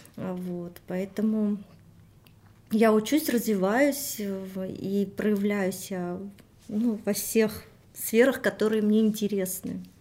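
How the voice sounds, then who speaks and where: A woman's medium-pitched voice, dark and mellow in tone, with fairly even intonation and a very slow pace. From Armenia. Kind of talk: interview.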